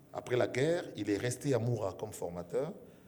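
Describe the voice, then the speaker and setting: There is audible room echo around a man speaking at a fairly low pitch. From DR Congo, Kinshasa (Kasa-Vubu area), later Katanga. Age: 60s. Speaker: media personality. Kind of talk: interview. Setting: stage with audience. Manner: hesitant, many fillers.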